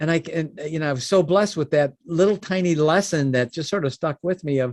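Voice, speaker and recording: Speaking with a Chicago accent in an animated tone, the voice has lively intonation and a fairly quick pace, with a dry, close sound with no echo. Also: man. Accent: Chicago-area American. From US Midwest, Chicago suburbs. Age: 60s. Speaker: business founder. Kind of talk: podcast interview.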